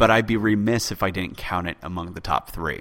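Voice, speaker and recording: Over a very clean recording with a silent background, a man talks at a fairly quick pace in an ordinary speaking voice with fairly low pitch. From born in UK, raised in US. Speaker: podcast host, history podcaster. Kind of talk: solo listener Q&A, casual explanatory.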